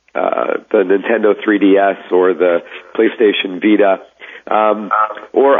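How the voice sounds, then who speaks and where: A man's fairly low voice at a fairly slow pace, with fairly even intonation and noticeable background noise. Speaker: tech journalist. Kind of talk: interview.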